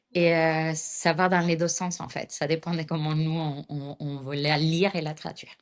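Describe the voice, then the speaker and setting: A woman with a non-native accent speaks fairly slowly at a fairly low pitch. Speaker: astrologer and pharmaceutical chemist. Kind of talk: interview answer.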